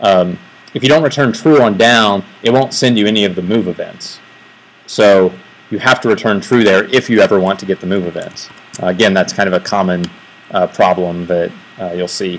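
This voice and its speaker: Fairly quick speech from a man, fairly low in pitch, with ordinary pitch variation over noticeable background noise. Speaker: software developer giving a tech talk. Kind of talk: technical presentation. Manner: fast; hesitant, many fillers.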